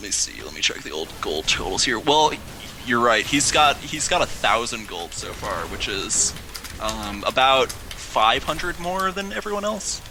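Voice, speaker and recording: Noticeable background noise sits behind a man with an American accent. His loudness swings widely. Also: moderate pace. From US Midwest, Chicago. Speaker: esports shoutcaster. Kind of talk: live commentary. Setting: live stream. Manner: animated.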